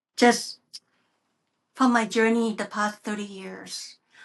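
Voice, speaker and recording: Music plays in the background. A woman with a fairly high pitch speaks at a fairly slow pace. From Thailand. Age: 60s. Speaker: hypnosis practitioner and spiritual teacher. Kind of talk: interview about spiritual healing.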